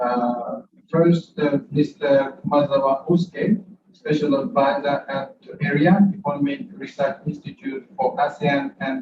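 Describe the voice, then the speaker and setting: A man's somewhat breathy, fairly high-pitched voice at a fairly slow pace, with ordinary pitch variation. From Japan. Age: 60s. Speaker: ambassador. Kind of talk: presentation. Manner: halting, many fillers.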